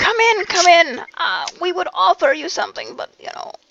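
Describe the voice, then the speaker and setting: Put-on character voice, pitched extremely high, delivered at a moderate pace. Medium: actual play.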